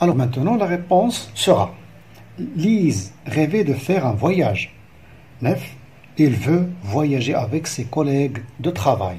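With a dark, mellow tone and vocal fry, a man speaks at a fairly high pitch and a very slow pace, swinging very widely in pitch and leaving long, frequent pauses. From Morocco. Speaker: primary school teacher. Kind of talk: lesson explanation. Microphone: phone near.

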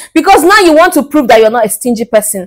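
The woman's voice makes very wide pitch swings, heard over a quiet background. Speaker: dating advice YouTuber. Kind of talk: vlog monologue. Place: home room. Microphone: lapel.

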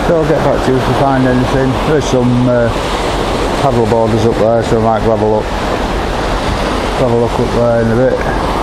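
Fairly quick speech over loud background noise. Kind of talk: casual vlog chat. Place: beach. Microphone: camera far.

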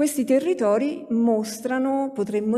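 The background is quiet. Against it, a woman speaks at a moderate pace. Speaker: sociologist, academic speaker; speaker. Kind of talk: conference talk. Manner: hesitant, many fillers. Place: hall. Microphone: podium.

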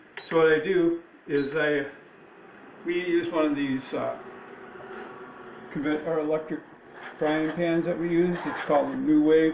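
Fairly even intonation at a moderate pace, long and frequent pauses, and noticeable background noise. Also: man. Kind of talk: tutorial. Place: kitchen. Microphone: phone near.

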